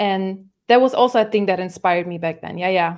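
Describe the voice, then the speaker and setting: Talking at a fairly quick pace with a German accent, a woman is heard in a very clean recording with a silent background. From Germany. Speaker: musical artist. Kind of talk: podcast interview. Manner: halting.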